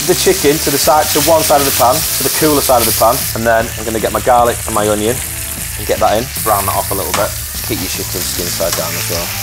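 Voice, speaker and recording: Loud background noise fills the clip. A man talks at a very fast pace. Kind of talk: tutorial. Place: kitchen.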